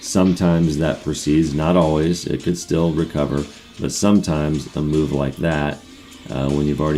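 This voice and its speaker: A man's very deep, low voice, monotone and flat, at a fairly quick pace with music in the background. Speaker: stock trading streamer. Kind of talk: live stream commentary. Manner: casual, thinking aloud.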